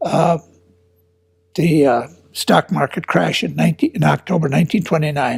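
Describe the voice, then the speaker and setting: Speaking at a moderate pace with an American accent, a man uses a fairly high pitch, vocal fry and ordinary pitch variation. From Minnesota, US Midwest. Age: 80s+. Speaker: war veteran. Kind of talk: oral history interview. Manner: halting.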